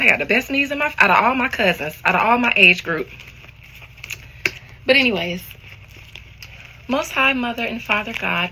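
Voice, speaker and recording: A woman's fairly high voice with very wide pitch swings, a moderate pace, long, frequent pauses and noticeable background noise. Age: 40s. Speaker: online content creator. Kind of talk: casual vlog monologue.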